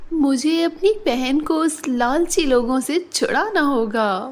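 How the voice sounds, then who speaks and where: In a cartoonish character voice that sounds female, the speaker talks at a high pitch for a woman and a very slow pace. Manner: emotional, intense.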